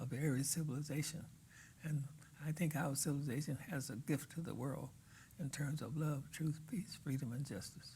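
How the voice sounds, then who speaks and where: A man speaks at a moderate pace in a fairly high pitch, with fairly even intonation. His tone is dark and mellow, and somewhat breathy. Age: 80s+. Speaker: religious leader. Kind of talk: interview. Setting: studio.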